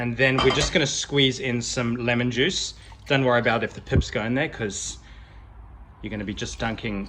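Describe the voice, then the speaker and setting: This man speaks at a fairly quick pace in a medium pitch, his bright, sharp tone edged with vocal fry. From South Africa. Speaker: cooking video host. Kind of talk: cooking tutorial. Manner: casual, friendly.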